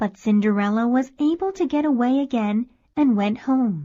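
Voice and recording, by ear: A woman's fairly high voice carries a dark, mellow tone at a moderate pace. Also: ordinary pitch variation.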